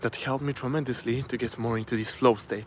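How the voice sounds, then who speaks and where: A man's medium-pitched voice in a Polish accent. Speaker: self-improvement vlogger. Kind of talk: live stream talk to camera. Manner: halting, with many fillers and restarts.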